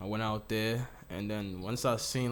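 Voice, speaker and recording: Recorded with audible room echo, a man talks in a fairly low pitch with ordinary pitch variation. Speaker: rapper. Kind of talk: casual interview.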